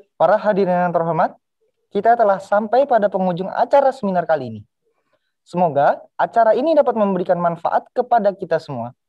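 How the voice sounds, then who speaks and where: A man with a high pitch talks at a very fast pace with lively intonation. The background is quiet. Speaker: student master of ceremonies. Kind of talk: formal event emceeing. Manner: formal. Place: studio.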